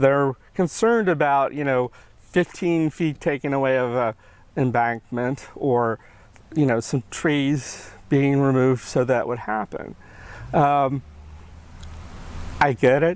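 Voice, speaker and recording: A man with an American accent speaks at a fairly slow pace with long, frequent pauses, his fairly high pitch moving with ordinary variation over a very clean recording and a silent background. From Charlottesville, Virginia. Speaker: bike safety advocate, bereaved father. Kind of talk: interview answer.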